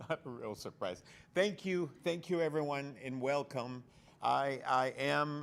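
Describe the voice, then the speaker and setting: A man speaks loudly at a fairly slow pace with a bright, sharp tone. His pitch varies in an ordinary way. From El Salvador. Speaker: makeup artist. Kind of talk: live event talk. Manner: loud, projecting.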